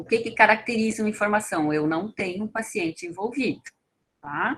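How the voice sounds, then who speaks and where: A woman with an ordinary speaking voice talks at a moderate pace and a fairly high pitch. Her intonation is lively, with big swings in loudness. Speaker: toxicology information center staff trainer. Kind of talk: training lecture.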